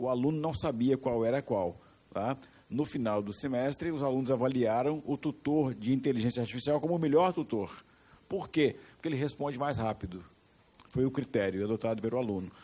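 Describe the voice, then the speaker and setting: With a dark, mellow tone and ordinary pitch variation, a man speaks at a fairly quick pace. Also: medium pitch for a man. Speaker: education market consultant, panelist. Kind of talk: panel discussion. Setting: stage with audience.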